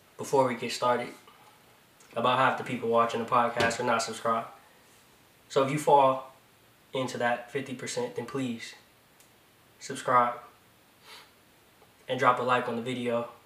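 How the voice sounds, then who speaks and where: A man uses a robotic, put-on character voice at a medium pitch and a moderate pace. He leaves long, frequent pauses, and there is a slight echo. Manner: flat, robotic, unconvincing.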